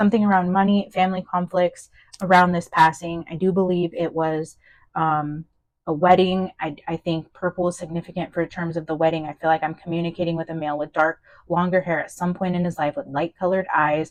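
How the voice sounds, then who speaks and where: Fairly quick and fairly low-pitched, a woman speaks with fairly even intonation in a dry, close sound with no echo against a quiet background. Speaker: tarot reader. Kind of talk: channeled tarot reading. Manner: fast; hesitant, many fillers and restarts.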